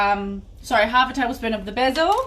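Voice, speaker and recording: The speaker has a New Zealand accent. Room echo is audible. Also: woman. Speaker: cooking class host. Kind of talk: live cooking tutorial. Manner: fast.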